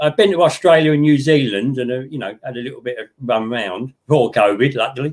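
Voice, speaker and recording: With an English accent, a man talks at a very fast pace, with hardly any pauses. His pitch is medium with ordinary variation, and his loudness swings widely. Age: 70s. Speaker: model railway hobbyist. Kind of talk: casual chat.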